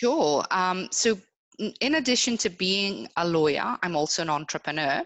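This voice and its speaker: A woman speaks at a moderate pace with very wide pitch swings. Her loudness stays very even. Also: medium pitch for a woman. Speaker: lawyer. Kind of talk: interview. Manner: halting, many fillers.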